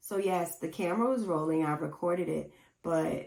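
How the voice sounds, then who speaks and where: A woman at a moderate pace with ordinary pitch variation. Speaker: podcast host. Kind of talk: casual solo podcast talk. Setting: home recording setup with camera and mixer. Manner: low-energy, not chipper.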